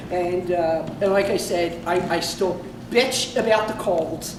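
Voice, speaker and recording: Amid noticeable background noise and audible room echo, a woman with a Philadelphia accent speaks at a fairly slow pace in an animated tone. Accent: Philly accent, nasal. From Philadelphia area, Upper Darby. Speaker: comedian. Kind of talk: stand-up. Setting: stage with audience. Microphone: no microphone.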